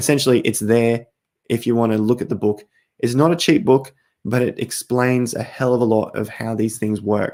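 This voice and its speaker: With an Australian accent, a man talks at a fairly quick pace in a medium-pitched, dark, mellow tone with fairly even intonation. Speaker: crypto YouTuber. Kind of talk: live stream chat. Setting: live stream at night. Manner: casual, conversational.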